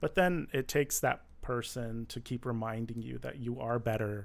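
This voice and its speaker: This is a normal speaking voice with an American accent, moving at a fairly slow pace. The recording is very clean, with a silent background. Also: man. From Michigan. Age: 30s. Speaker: former finance manager. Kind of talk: interview. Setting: studio.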